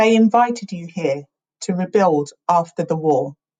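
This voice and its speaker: Fairly low and somewhat breathy, this woman's voice moves at a fairly slow pace with ordinary pitch variation. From England. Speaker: spoken word poet. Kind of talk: spoken word poetry performance.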